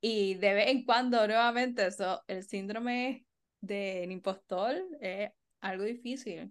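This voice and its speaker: Pitched fairly high, a woman speaks very slowly, her pitch varying in an ordinary way. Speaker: podcast co-host, art therapist and educator. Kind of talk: casual chat.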